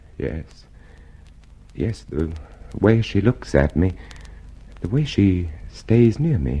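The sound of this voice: A put-on character voice with big swings in pitch and a slow pace. The tone is dark and mellow with a slightly husky edge. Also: man, low pitch for a man.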